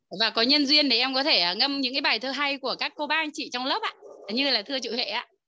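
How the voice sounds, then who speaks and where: A woman speaks very fast in a raised, projected voice. Her pitch is high, with ordinary variation. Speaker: course participant. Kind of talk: testimony. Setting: video call.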